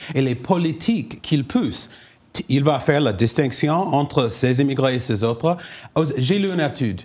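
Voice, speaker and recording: Lively intonation marks this man's North Carolina accent and fairly high pitch at a moderate pace. The recording is very clean, with a silent background. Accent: North Carolina American accent in French. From US, North Carolina. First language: English (speaking French). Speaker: panelist. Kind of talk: panel debate. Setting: round table with live audience.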